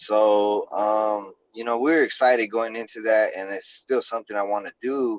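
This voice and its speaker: A man with an unremarkable speaking voice talks at a moderate pace and medium pitch, with fairly even intonation and hardly any pauses. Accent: American. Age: 30s. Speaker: MMA fighter. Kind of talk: casual chat.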